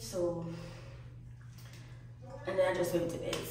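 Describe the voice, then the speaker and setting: A woman's voice comes with strong room echo. Light background noise is also there. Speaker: travel vlogger. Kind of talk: casual vlog chat. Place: bathroom.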